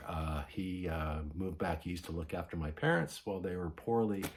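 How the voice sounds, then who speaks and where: In a Canadian accent, a man with a very deep, low pitch speaks somewhat breathily at a moderate pace, his intonation fairly even. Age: 70s. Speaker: vinyl record vlogger. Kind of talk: casual vlog.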